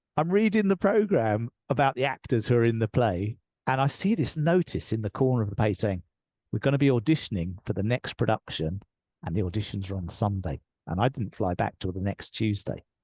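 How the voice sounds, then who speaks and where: With an English accent, a man talks at a fairly quick pace in a medium pitch, his dark, mellow tone and lively intonation captured with a dry, close sound, no echo and a quiet background. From England. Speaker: leadership coach. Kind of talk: interview storytelling. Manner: animated.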